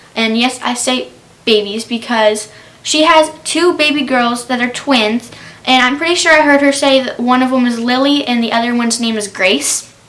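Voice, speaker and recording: A high-pitched woman's voice with ordinary pitch variation over noticeable background noise. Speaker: YouTuber. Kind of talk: casual TV recap. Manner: fast.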